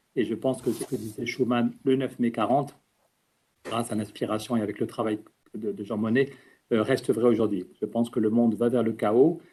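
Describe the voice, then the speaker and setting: A man speaks at medium pitch. His intonation stays fairly even. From French Basque Country. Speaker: politician. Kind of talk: conference talk. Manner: fast; talkative, with hesitations.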